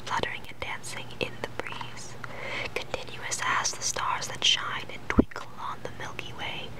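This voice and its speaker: Someone is whispering at a fairly slow pace. Noticeable background noise can be heard. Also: woman. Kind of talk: poetry reading. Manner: whispered.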